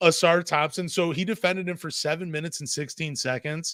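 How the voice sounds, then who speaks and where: A man with an unremarkable speaking voice talks at a fairly quick pace and a fairly high pitch, recorded with a dry, close sound that has no echo. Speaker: basketball podcast host. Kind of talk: casual chat. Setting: live-streamed podcast.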